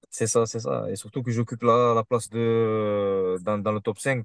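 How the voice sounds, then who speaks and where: Recorded dry and close with no echo, a man talks at a medium pitch in a monotone, flat intonation. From Marseille, southern France. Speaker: kickboxer. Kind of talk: interview.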